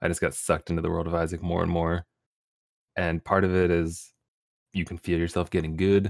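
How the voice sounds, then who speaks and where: A man with a very deep, low pitch, monotone, flat intonation, a fairly quick pace and long, frequent pauses, in a very clean recording with a silent background and a dry, close sound with no echo. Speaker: Twitch streamer. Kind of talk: casual interview chat.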